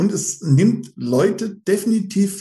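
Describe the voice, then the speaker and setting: Pitched high, a man's voice has a dark, mellow tone and ordinary pitch variation. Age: 50s. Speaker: running group admin, police employee. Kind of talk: casual interview.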